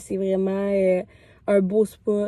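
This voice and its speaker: A woman speaks with a Quebec accent at medium pitch. Her tone is dark and mellow. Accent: Québécois French. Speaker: vlogger. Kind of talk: casual vlog talk to camera. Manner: chatty, many filler hesitations.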